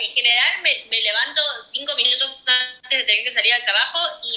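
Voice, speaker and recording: Against noticeable background noise, a woman talks at a very fast pace in a high pitch with ordinary pitch variation. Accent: Rioplatense. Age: 20s. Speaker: pastry chef. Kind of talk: interview.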